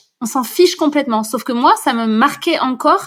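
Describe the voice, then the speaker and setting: A woman talks with a high pitch and lively intonation. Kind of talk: podcast interview answer. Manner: natural, fluent, upbeat.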